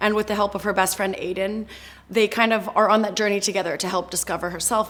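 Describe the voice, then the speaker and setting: A woman with a medium-pitched voice talks at a fairly quick pace over noticeable background noise. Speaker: actress. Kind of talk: interview.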